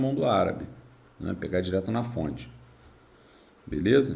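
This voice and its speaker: There is audible room echo as a man speaks at a moderate pace with medium pitch, ordinary pitch variation and vocal fry. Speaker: history teacher. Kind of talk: lecture.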